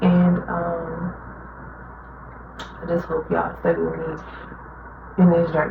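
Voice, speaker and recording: Speaking at a moderate pace in a fairly low, monotone voice with flat intonation, a woman is heard with noticeable background noise and audible room echo. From Chicago, Illinois, US. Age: 20s. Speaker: vlogger. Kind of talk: casual personal monologue. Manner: many fillers and hesitations.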